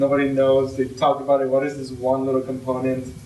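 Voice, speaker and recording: At a moderate pace, the speech carries audible room echo along with noticeable background noise. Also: man. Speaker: ITP alumnus pitching a hackathon project. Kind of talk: informal project pitch. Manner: halting, many fillers.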